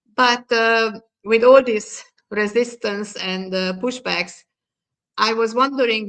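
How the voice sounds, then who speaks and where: In a Hungarian accent, a woman speaks at a fairly slow pace with a fairly high pitch and fairly even intonation. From Hungary. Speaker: diversity and inclusion expert. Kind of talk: panel discussion. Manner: halting.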